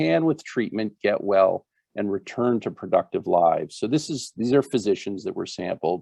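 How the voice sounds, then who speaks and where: At a moderate pace, a man speaks in an ordinary speaking voice with a fairly low pitch. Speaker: physician presenter. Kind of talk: webinar presentation.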